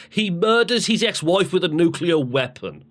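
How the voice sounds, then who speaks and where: A man with a British accent talks in an animated tone with vocal fry. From UK. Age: 30s. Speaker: podcast co-host. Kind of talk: casual chat. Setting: live stream podcast.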